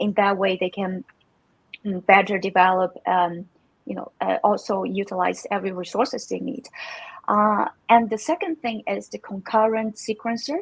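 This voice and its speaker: A woman's voice with vocal fry, a moderate pace and ordinary pitch variation. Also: medium pitch for a woman, dry, close sound with no echo. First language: Chinese. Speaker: crypto community manager. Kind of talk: live stream interview. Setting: live stream. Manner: halting, many fillers.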